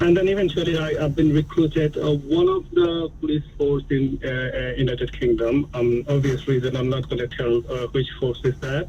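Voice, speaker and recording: A man with a non-native accent speaks at a moderate pace in a fairly high pitch, his intonation fairly even and hardly any pauses, over noticeable background noise. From a developing country abroad. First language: not English. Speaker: caller, police officer. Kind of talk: phone-in call. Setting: phone call. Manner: halting, many fillers.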